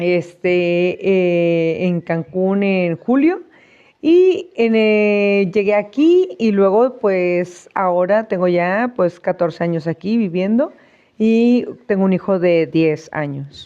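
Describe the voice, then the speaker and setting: A woman's dark, mellow tone at a very slow pace. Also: medium pitch for a woman, ordinary pitch variation, quiet background. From northern Mexico, Reynosa, Tamaulipas. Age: 40s. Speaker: Mexican immigrant interviewee. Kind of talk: interview. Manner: halting with fillers.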